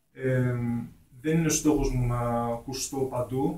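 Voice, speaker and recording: A very slow pace with monotone, flat intonation. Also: man. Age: 20s. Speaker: hip hop artist. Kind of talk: radio interview. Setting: radio studio.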